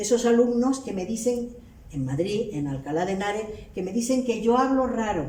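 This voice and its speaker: A woman speaks in a Canarian accent at a moderate pace, her pitch fairly high and her intonation lively. Noticeable background noise and audible room echo surround her voice. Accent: Canarian Spanish, retained. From Canary Islands. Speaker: linguistics professor. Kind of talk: academic lecture.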